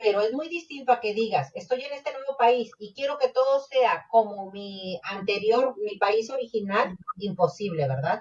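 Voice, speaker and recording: In a Mexican accent, a woman talks at a moderate pace with a fairly high pitch and lively intonation. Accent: Mexican accent, also in English. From Mexico. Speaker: podcast co-host. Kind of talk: casual chat.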